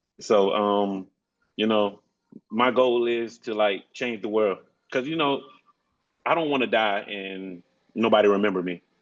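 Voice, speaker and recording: A man with a Southern US accent talks at a fairly slow pace in a fairly low pitch. He takes long, frequent pauses, and his pitch varies in an ordinary way. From rural South Carolina. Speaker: program graduate, medical trainee. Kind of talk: casual conversation. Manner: loud.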